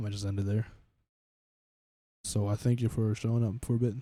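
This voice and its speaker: This soft-spoken man has a fairly low pitch and a dark, mellow tone. His delivery is monotone and flat, broken by long, frequent pauses. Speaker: streamer. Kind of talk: casual chat. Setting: live stream.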